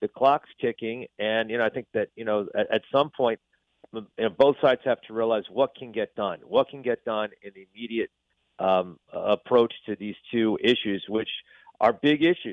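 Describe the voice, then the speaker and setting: A man speaks in a normal speaking voice at a medium pitch with ordinary pitch variation. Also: moderate pace. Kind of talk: interview. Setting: phone call.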